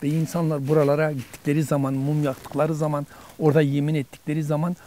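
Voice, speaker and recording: The man talks at a fairly quick pace. His voice sits at a fairly high pitch. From Dersim, eastern Turkey. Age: 60s. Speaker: interviewee, local elder. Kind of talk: interview, personal recollection. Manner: halting, many fillers.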